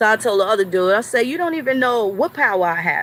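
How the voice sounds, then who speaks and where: A woman with a New York accent speaks at a moderate pace in an animated, bright, sharp tone with very wide pitch swings. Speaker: commentary vlogger. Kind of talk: impassioned monologue.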